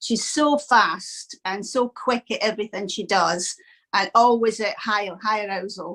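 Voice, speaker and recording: In a Scottish accent, a woman speaks with a fairly high pitch and a bright, sharp tone. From Scotland. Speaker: dog owner, training course student. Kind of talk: interview testimonial.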